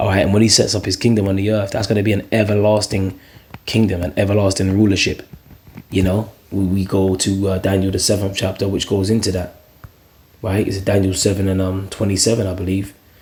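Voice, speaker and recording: Noticeable background noise sits behind a man whose fairly low voice runs at a fairly quick pace in a flat monotone. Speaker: religious video preacher. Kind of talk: scripture commentary monologue. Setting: at home, early morning. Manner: quiet, talking low.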